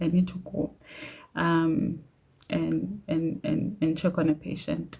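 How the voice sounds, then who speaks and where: A woman speaks in a somewhat breathy voice with a fairly low pitch. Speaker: doctor. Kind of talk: casual livestream chat. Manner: hesitant.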